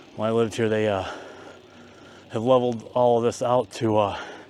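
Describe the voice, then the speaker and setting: Here a man speaks at a medium pitch and a moderate pace. Noticeable background noise is present. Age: 50s. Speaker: vlogger. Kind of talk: casual vlog narration. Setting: outdoors on a bicycle.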